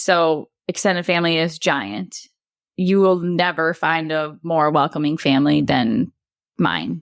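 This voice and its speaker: A woman with a Wisconsin accent speaks at a fairly slow pace and fairly low pitch with ordinary pitch variation, the recording very clean with a silent background and a dry, close sound with no echo. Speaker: bereaved mother. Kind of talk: podcast interview, personal story.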